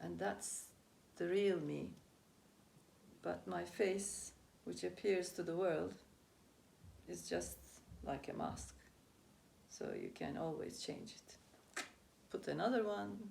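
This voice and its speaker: A woman speaks very slowly in a very deep, low voice with vocal fry. Her pitch swings very widely, and she takes long, frequent pauses. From Türkiye. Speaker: Chi Kung teacher, spirituality and dance enthusiast. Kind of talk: interview answer.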